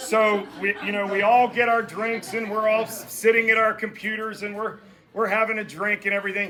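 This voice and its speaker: A man with a high-pitched voice speaks in a raised, projected way over noticeable background noise. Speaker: boss of the birthday woman giving a toast. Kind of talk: birthday roast speech. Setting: party with audience, no microphone. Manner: loud. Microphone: no microphone.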